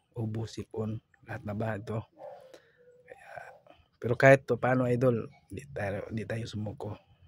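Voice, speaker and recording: At a moderate pace with long, frequent pauses, a man of medium pitch talks in a somewhat breathy, monotone, flat way, with big swings in loudness and a dry, close sound with no echo. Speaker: vlogger. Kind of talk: vlog voice-over. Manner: casual.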